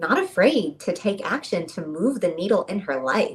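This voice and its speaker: Noticeable background noise accompanies a woman whose delivery is animated. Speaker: business mentor and brand coach. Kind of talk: casual chat.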